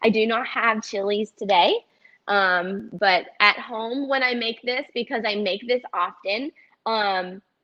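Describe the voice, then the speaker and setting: A very slow pace and ordinary pitch variation, with a Southern US accent. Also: woman, fairly high pitch for a woman. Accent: Southern twang. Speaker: dietitian. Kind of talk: cooking demonstration. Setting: teaching kitchen, live stream. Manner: casual, many filler ums.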